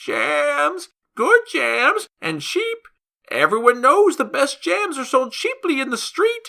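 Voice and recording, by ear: This put-on character voice sits high in pitch and sounds shaky, moving at a fairly slow pace.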